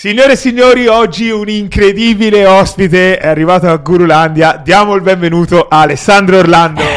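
Noticeable background noise sits under speech delivered at a fairly quick pace with hardly any pauses and ordinary pitch variation. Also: man, high pitch for a man. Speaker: podcast host. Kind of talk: interview. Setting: in-person interview.

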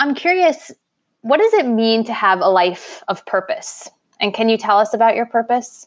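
A woman speaks in an unremarkable speaking voice with an American accent. Her fairly high pitch moves with lively intonation at a moderate pace. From New York. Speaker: podcast co-host and life coach. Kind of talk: casual interview chat.

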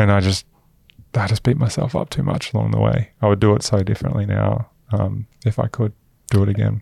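Vocal fry runs through a dark, mellow tone in an Australian accent, recorded with a dry, close sound and no echo. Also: man, fairly low pitch for a man, ordinary pitch variation, fairly quick pace. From Queensland, Australia. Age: 30s. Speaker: venture capital investor. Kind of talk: interview conversation.

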